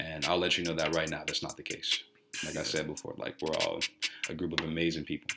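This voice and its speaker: Very deep and low, a man's voice rushes along at a very fast pace in an American accent. His intonation is flat and monotone, and background noise is noticeable. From Chicago, US Midwest. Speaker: college student. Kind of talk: casual chat, welcome talk to freshmen.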